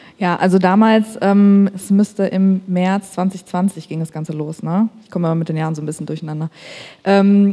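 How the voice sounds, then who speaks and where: A woman at medium pitch and moderate pace, with fairly even intonation, big swings in loudness and noticeable background noise. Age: 30s. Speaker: marketing agency founder. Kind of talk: panel discussion. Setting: stage with audience.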